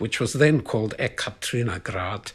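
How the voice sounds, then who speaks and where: Speaking in a South African accent, a man has a medium pitch with ordinary pitch variation. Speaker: biologist. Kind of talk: interview answer.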